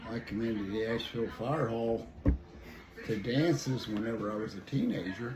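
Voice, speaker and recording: Medium-pitched male voice with a western Pennsylvania accent, fairly even intonation and moderate pace, plus noticeable background noise and audible room echo. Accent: rural western Pennsylvania American. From rural western Pennsylvania. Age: 80s+. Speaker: local elder interviewee. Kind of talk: interview.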